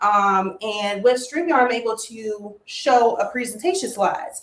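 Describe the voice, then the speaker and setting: Loud and at a moderate pace, a woman speaks with an American accent. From Maryland, DMV area. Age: 30s. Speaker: financial educator, livestreamer. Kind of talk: livestream presentation. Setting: livestream. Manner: animated.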